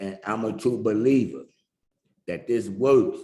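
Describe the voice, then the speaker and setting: Vocal fry runs through this fairly slow delivery, which has ordinary pitch variation and audible room echo. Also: man. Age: 60s. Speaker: recovering addict sharing his story. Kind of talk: testimony.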